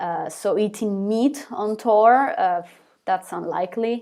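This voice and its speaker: A woman speaks very slowly with an Italian accent. Her pitch is medium, with ordinary variation. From Italy. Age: 20s. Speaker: singer of a rock band. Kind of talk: live Q&A stream. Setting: live stream on camera. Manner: hesitant, repeats words.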